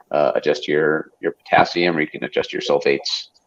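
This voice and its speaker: This voice moves at a fairly quick pace. It carries an American accent. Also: man. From United States. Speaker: aquarium hobby livestream host. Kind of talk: casual livestream chat. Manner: frequent fillers and hesitations.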